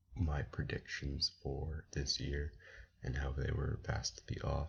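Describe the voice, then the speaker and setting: A man with a very deep, low pitch and vocal fry speaks at a very slow pace. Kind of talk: sports commentary talking to camera.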